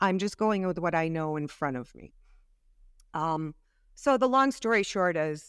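The recording is very clean, with a silent background. A woman speaks at a moderate pace with a fairly low pitch and very wide pitch swings. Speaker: retired police officer. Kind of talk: interview storytelling.

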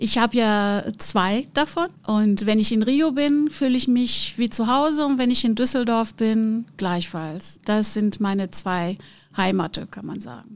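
Speaking with a Portuguese accent, a woman talks at a fairly slow pace and a fairly high pitch. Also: ordinary pitch variation. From Brazil, Rio de Janeiro. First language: Portuguese (speaking German). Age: 50s. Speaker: conference interpreter and business owner. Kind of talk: interview.

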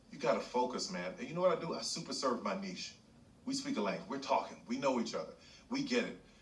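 Over noticeable background noise, a man speaks at a very fast pace in a fairly high pitch with very wide pitch swings. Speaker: podcast guest. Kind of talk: casual chat.

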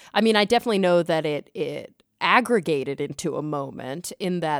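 A woman is talking. Her audio is very clean, and the background is silent. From Texas, Dallas-Fort Worth. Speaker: science communicator. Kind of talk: casual chat.

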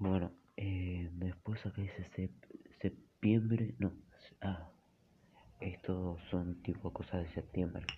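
Speaking very slowly with long, frequent pauses, a man uses a very deep, low pitch, a somewhat breathy voice and fairly even intonation. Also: big swings in loudness. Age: 30s. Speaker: storyteller. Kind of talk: storytelling monologue. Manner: halting, with many fillers and repetitions.

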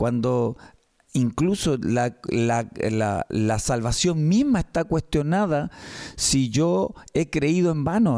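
A man with a Chilean accent, dark, mellow tone, very slow pace, very even loudness and lively intonation. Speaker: radio host, church program presenter. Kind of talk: casual chat about bible teaching. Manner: halting, with repeated words.

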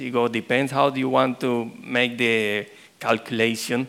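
At a fairly slow pace, a man talks with a Spanish accent. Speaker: pastor. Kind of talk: sermon. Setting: church.

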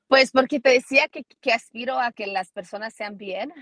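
A woman talks at a moderate pace in a plain, everyday voice, with ordinary pitch variation and a dry, close sound with no echo. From United States. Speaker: NFL analyst and sports reporter. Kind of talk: interview.

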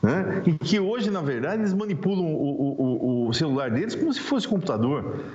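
A man speaks at a moderate pace in a high voice with very wide pitch swings. Room echo is audible, and background noise is noticeable. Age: 60s. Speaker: public prosecutor. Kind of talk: interview. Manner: halting.

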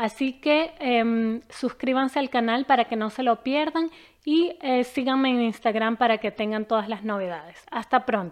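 A woman speaks in a high pitch at a fairly slow pace. Her pitch variation is ordinary, and the background is quiet. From Venezuela, Caracas. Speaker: immigration lawyer. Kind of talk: channel introduction.

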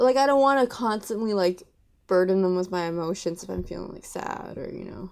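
A woman with a Canadian accent has an unremarkable speaking voice, pitched in the middle range. She talks at a fairly quick pace with lively intonation and big swings in loudness. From Vancouver, Canada. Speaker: podcast guest. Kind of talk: casual chat. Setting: video call.

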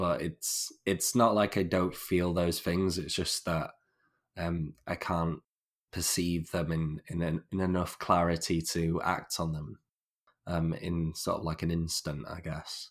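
Speaking with a Northern English accent, this man has a very deep, low pitch. His pace is fairly slow and his intonation fairly even. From northern England. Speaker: podcast host. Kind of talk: casual interview chat. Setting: remote call. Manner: halting, many repetitions.

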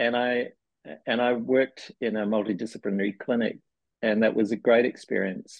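Moderate pace and a flat, monotone delivery with a New Zealand accent. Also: man. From New Zealand, small town. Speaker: physiotherapy researcher. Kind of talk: interview.

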